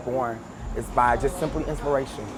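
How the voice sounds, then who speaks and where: Over music in the background, a man with a medium pitch speaks at a fairly quick pace in monotone, flat intonation. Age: 30s. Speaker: R&B singer. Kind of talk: interview. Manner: casual.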